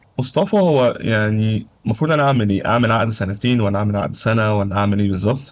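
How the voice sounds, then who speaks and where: A man with an Egyptian accent speaks at a medium pitch with ordinary pitch variation. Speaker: YouTuber giving advice on life in Germany. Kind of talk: tutorial. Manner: casual, conversational.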